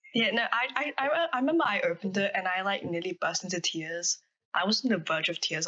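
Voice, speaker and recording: A woman with an Australian accent, very wide pitch swings, and very even loudness. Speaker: podcast co-host. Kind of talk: casual chat.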